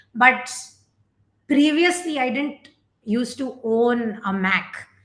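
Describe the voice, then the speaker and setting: A woman with a Gujarati accent speaks very slowly in a high voice. Her pitch varies in an ordinary way. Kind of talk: tutorial. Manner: casual, hesitant with fillers.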